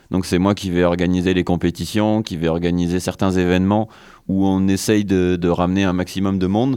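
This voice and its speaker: A man with a very deep, low voice and a dark, mellow tone talks at a fairly quick pace in a monotone, flat delivery at very even loudness, in a very clean recording with a silent background. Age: 20s. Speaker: scooter rider and sports association volunteer. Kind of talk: radio interview.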